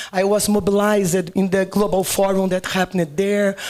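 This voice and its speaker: A woman with a Brazilian Portuguese accent at a moderate pace. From Brazil, Rio de Janeiro. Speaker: agricultural researcher. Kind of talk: panel discussion.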